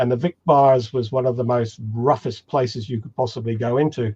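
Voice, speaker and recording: Somewhat breathy, a man speaks at a medium pitch and a moderate pace. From England, Cornwall. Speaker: homebrewing author and presenter. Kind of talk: webinar Q&A chat.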